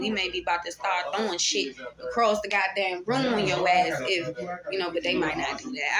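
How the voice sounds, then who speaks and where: A woman talks at a fairly quick pace with medium pitch and ordinary pitch variation. Audible room echo and noticeable background noise surround her voice. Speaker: tarot reader. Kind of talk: spiritual monologue. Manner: soft-spoken; casual, profane, free-flowing.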